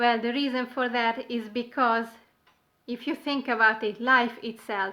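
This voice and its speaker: A woman's fairly high, bright, sharp voice at a moderate pace, with a non-native accent. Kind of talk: casual talk to camera.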